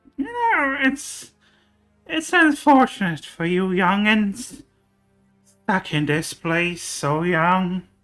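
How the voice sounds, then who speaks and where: A put-on character voice at middle pitch and very slow pace, with faint music in the background. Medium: actual play. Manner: doting, calls others dearie.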